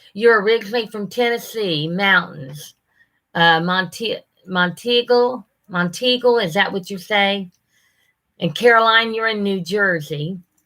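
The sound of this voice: A woman's bright, sharp tone at a medium pitch, with ordinary pitch variation and a fairly slow pace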